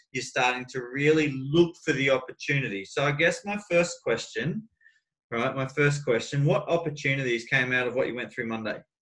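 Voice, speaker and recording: The pace is moderate. Pitch variation is ordinary. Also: man, fairly high pitch for a man. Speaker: life coach. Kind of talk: coaching conversation. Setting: video call. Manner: animated.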